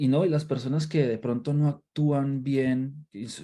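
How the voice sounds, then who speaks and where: Dark, mellow tone from a man with a Colombian accent, medium in pitch. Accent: Colombian accent, noticeable. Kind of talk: Bible study livestream. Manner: halting, frequent repetitions.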